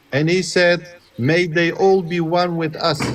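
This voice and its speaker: A man's high voice with a non-native accent at a very slow pace, over noticeable background noise. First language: not English. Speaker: debate participant. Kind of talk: heated debate.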